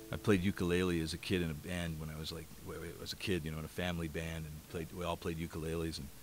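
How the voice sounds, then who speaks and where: A man's very deep, low voice at a very fast pace, monotone and flat, dry with no echo, with music in the background. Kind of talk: spoken song introduction, then singing. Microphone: studio mic.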